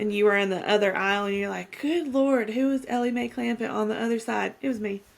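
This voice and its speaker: Talking at a very fast pace with hardly any pauses, a woman with an American accent keeps a medium pitch and ordinary pitch variation. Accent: mild Southern, stronger with family. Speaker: podcast co-host. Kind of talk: casual chat.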